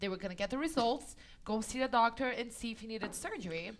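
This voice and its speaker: At a moderate pace and with ordinary pitch variation, a woman talks in an unremarkable speaking voice. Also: very clean recording, silent background. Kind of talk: dry, sarcastic-sounding.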